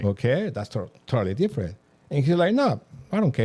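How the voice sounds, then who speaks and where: With a Mexican accent, a man speaks in a dark, mellow, somewhat breathy tone marked by very wide pitch swings. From Mexico. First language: Spanish. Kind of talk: interview answer.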